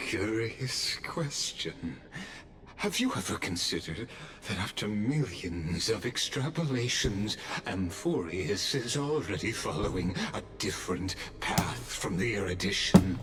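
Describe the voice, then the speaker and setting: A man puts on a character voice, pitched fairly low and delivered at a fairly slow pace. Clear background noise runs behind him. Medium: video game. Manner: cold, measured.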